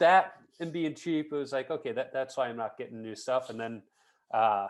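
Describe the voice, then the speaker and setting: Speaking in an American accent, a man uses a plain, everyday voice at a fairly high pitch. His intonation is lively and his pace moderate. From US Midwest, Chicago. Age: 40s. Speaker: podcast host and amateur hockey goalie. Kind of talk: casual interview chat.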